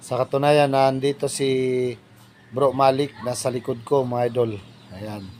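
Speaking at a fairly slow pace, a man uses a plain, everyday voice, medium in pitch, with fairly even intonation. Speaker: vlogger. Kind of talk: casual vlog narration. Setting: outdoors.

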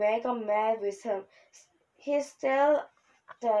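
The clip is plain reading aloud with ordinary pitch variation over a quiet background.

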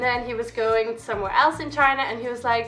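A woman's raised, projected voice over faint background music. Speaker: vlogger. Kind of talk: casual vlog chat. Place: home room. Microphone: camera far.

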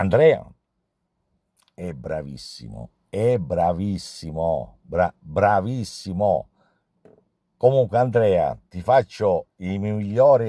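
A man with a dark, mellow tone and fairly low pitch, very slow in pace with lively intonation, in a dry sound with no echo and a quiet background. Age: 60s. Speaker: pastry chef. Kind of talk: testimonial. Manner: halting. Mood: warm, appreciative. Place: car. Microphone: phone near.

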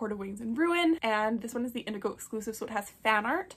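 A woman's fairly high, somewhat breathy voice at a fairly quick pace. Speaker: book content creator. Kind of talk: casual chat. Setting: home video recording. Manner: animated. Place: home room. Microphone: phone near.

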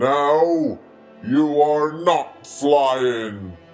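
A cartoonish character voice sits at a low-to-middle pitch. Faint music plays in the background. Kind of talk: comic cartoon acting. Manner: flat, blunt, impatient.

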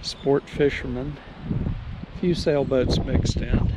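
At a very slow pace, a man talks in a dry sound with no echo, over noticeable background noise. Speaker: sailboat owner vlogger. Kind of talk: casual vlog chat. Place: waterside. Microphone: phone near.

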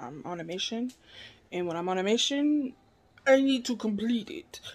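A woman speaks with lively intonation and a slightly husky edge.

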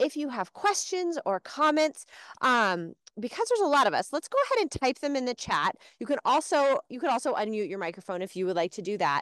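With a fairly quick pace and very wide pitch swings, a woman speaks at a high pitch in dry sound with no echo and a quiet background. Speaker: education program host. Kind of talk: live virtual class hosting. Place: open country.

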